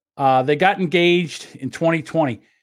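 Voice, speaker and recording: A man's unremarkable speaking voice, fairly high in pitch with ordinary pitch variation, on a very clean recording with a silent background. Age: 60s. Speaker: podcast co-host. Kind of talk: casual chat.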